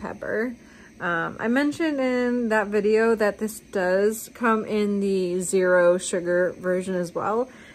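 Light background noise sits behind a woman whose pitch varies in an ordinary way. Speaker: vlogger. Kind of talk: casual vlog chat. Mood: cheerful, chatty. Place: home room. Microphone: phone near.

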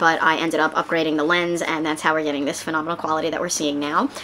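A woman speaks at a very fast pace in a very deep, low voice, her intonation monotone and flat over light background noise. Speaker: product reviewer. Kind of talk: casual talk to camera. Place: home room.

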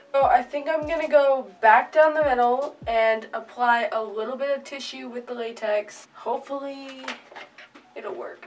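Faint music plays behind a woman who speaks at a moderate pace with ordinary pitch variation. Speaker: makeup vlogger. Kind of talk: tutorial.

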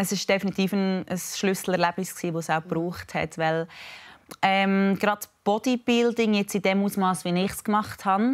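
A woman speaks in an ordinary speaking voice at medium pitch and a moderate pace. Her intonation is fairly even, and the background is quiet. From Switzerland. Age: 20s. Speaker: fitness influencer. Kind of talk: TV interview. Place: studio. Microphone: lapel.

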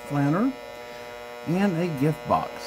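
Noticeable background noise sits under a man speaking with ordinary pitch variation. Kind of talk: magic trick patter. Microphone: phone near.

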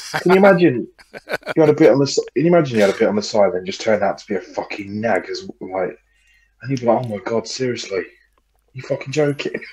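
Talking at a very fast pace, a man with a somewhat breathy, medium-pitched voice makes very wide pitch swings and big swings in loudness. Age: 30s. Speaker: podcast co-host. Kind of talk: casual chat.

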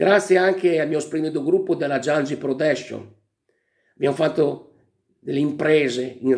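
The background stays quiet. This man's intonation is fairly even. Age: 50s. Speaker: comedian and impressionist; comedian. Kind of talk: award acceptance speech. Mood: emotional, grateful. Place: home room. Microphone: webcam.

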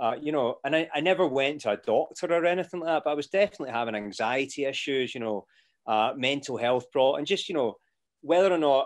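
A man with a Scottish accent talks at a fairly quick pace, his pitch fairly high. His pitch variation is ordinary, and the background is quiet. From Scotland. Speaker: actor. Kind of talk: casual interview chat. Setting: video call. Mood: reflective, candid.

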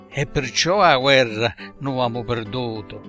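A man's voice with music in the background. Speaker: poet. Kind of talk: dialect poetry reading.

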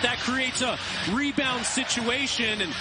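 A man's raised, projected voice at an extremely high pitch, with fairly even intonation over noticeable background noise. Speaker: hockey color commentator. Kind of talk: analytical replay breakdown commentary. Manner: measured, explanatory.

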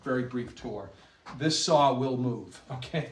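A man's fairly even intonation comes through with audible room echo and light background noise. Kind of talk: walking tour commentary. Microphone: camera far.

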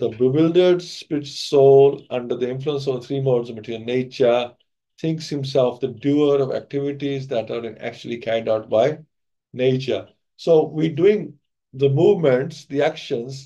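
Over a quiet background, a man speaks with a dark, mellow tone and ordinary pitch variation. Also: moderate pace. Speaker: speaker. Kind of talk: lecture. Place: home room. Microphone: video call.

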